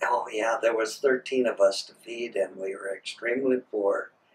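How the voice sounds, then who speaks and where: A man with an American accent. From Minnesota, US. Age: 70s. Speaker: grandfather telling life story. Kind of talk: oral history interview. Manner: halting, many fillers.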